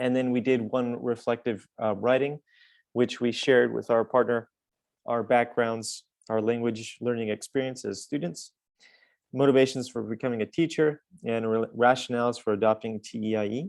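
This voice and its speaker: A man's unremarkable speaking voice with an American accent, medium in pitch, at a moderate pace, over a quiet background. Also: fairly even intonation. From US West, northern Nevada. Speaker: university English lecturer. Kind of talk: conference webinar presentation.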